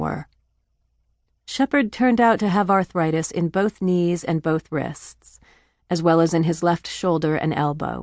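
A woman with a fairly low pitch speaks at a fairly slow pace in a normal speaking voice, with ordinary pitch variation. The sound is dry and close with no echo, against a quiet background. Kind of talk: audiobook narration. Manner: even, measured storytelling pace, warm and earnest; gently emotional, reflective, restrained.

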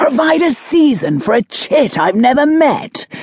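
Vocal fry runs through a woman's speech. Her pitch swings very widely. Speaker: audiobook narrator. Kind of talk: dramatic audiobook narration of a historical romance, with character voices.

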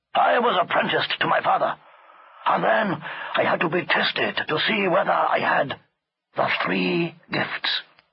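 A man speaks at a moderate pace in a raspy, put-on character voice. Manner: gruff, scolding, conspiratorial.

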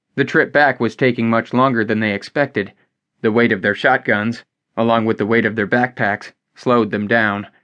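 Over a quiet background, plain reading aloud keeps its intonation fairly even.

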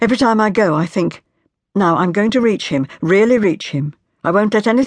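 The background stays quiet while the text is given a plain reading aloud.

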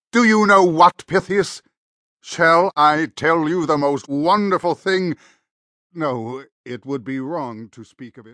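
Big swings in loudness at a fairly slow pace, with a dry, close sound, no echo and a quiet background. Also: man, fairly high pitch for a man. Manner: eager, flustered, overjoyed.

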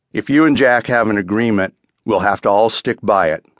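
A man with an ordinary speaking voice, medium pitch and lively intonation, at a moderate pace, in a dry, close sound with no echo. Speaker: audiobook narrator. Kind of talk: audiobook narration of a novel, dramatic reading with character dialogue.

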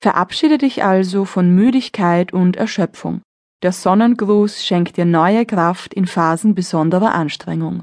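A woman with an ordinary speaking voice talks at a fairly slow pace in a medium pitch, with ordinary pitch variation and very even loudness. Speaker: audiobook narrator and yoga instructor. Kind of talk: guided meditation. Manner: calm, slow, soothing; instructive, gentle, measured.

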